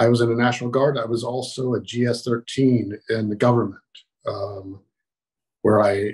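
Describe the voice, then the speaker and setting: Against a quiet background, a somewhat breathy man with an American accent speaks at a moderate pace with fairly even intonation. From Maryland, Baltimore. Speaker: army veteran. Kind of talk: oral history interview. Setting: video call. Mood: reminiscing, calm. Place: home room. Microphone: video call.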